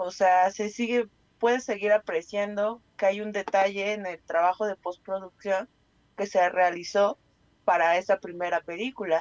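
At a fairly slow pace, a woman speaks in an ordinary speaking voice at a medium pitch, with a dry, close sound and no echo. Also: fairly even intonation. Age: 30s. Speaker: radio co-host. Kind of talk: casual chat.

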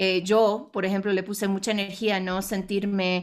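Her voice sits at a medium pitch. The recording is very clean, and the background is silent. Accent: English. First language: English (speaking Spanish). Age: 40s. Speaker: international speaker and businesswoman. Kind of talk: interview. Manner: halting.

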